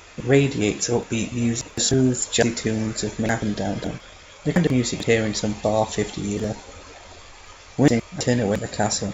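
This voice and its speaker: Over noticeable background noise, a man talks at a fairly quick pace and medium pitch, with fairly even intonation and long, frequent pauses. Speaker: fan fiction reader. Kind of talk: read story narration. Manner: flat, subdued.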